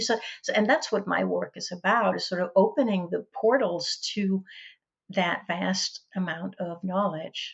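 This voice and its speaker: A woman with a Danish accent speaks at medium pitch and a moderate pace, with ordinary pitch variation. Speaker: educator and author. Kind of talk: podcast interview.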